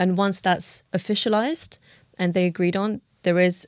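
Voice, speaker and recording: A woman with a London accent speaks at a moderate pace. The sound is dry and close, with no echo. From Uzbekistan (Tashkent), moved to London at 11. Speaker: illustrator and cultural leader. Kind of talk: casual interview.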